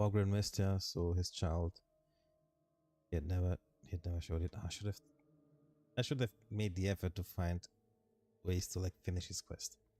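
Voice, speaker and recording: With a non-native accent, a man with a very deep, low pitch and a dark, mellow, somewhat breathy tone speaks with fairly even intonation and long, frequent pauses, recorded dry and close with no echo. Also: moderate pace, very clean recording, silent background. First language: not English. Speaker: vtuber streamer. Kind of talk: reading game text aloud on a live stream. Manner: halting, stumbling over names.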